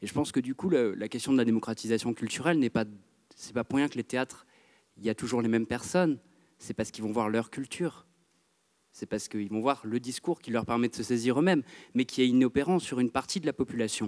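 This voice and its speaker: Against a quiet background, a man talks at a very fast pace with long, frequent pauses. His pitch variation is ordinary. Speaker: theatre director. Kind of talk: audience question at a public debate. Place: hall.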